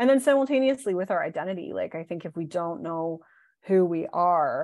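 A woman has a normal speaking voice with lively intonation at a moderate pace. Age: 40s. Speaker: body image coach. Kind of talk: casual interview.

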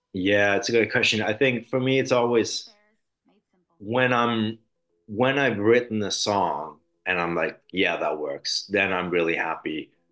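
A medium-pitched man with an American accent, ordinary pitch variation and a fairly slow pace. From grew up in several countries (Denmark, Germany, US, Sweden). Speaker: musician. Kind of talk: interview. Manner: halting, many repetitions and fillers.

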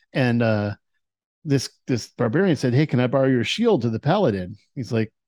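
With an unremarkable speaking voice, a man speaks at a moderate pace and medium pitch with lively intonation on a very clean recording with a silent background. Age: 50s. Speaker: dungeon master hosting a tabletop game podcast. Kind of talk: casual interview.

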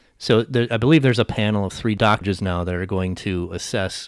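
A fairly low-pitched man with an American accent at a fairly quick pace, on a very clean recording with a silent background. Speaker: podcast host. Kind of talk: casual chat with storytelling. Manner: monotone.

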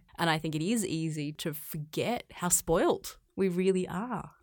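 A woman's fairly low voice with an Australian accent, in a very clean recording with a silent background. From Australia, rural farm. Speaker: physiotherapist, pain management practitioner. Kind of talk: interview conversation.

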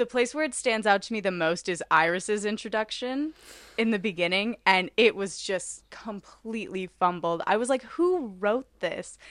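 With a fairly high pitch, a woman talks in an unremarkable speaking voice. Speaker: podcast co-host. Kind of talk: casual chat. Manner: laughs often, chatty.

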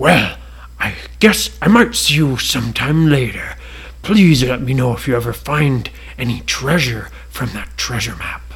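Over light background noise, a man at a medium pitch does a put-on character voice at a moderate pace. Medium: read story. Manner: polite, gentle.

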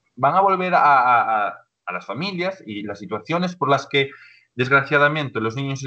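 Talking at a moderate pace, a man with an unremarkable speaking voice uses lively intonation at medium pitch. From Galicia, Spain (A Coruña province). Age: 20s. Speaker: social educator. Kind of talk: casual interview.

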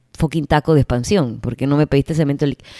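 On a very clean recording with a silent background, the voice sounds animated, dry and close, with no echo. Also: woman. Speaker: fitness coach and gym owner. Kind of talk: casual solo podcast monologue.

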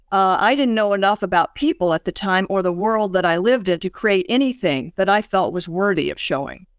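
Speaking fairly quickly with hardly any pauses, a woman with a Southern US accent uses a medium pitch and ordinary pitch variation in a very clean, dry and close recording with a silent background and no echo. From US South, Birmingham, Alabama. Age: 70s. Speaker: author. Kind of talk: interview. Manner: halting.

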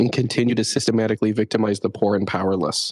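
A man speaks at a very fast pace, his pitch medium and his intonation monotone and flat. The sound is dry and close, with no echo. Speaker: podcast host. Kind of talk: casual chat. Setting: video call.

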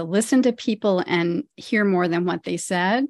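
With lively intonation at a moderate pace, an ordinary speaking voice comes through dry and close with no echo over a quiet background. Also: woman. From US Midwest (rural Ohio). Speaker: retired pediatrician and lifestyle coach. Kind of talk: interview.

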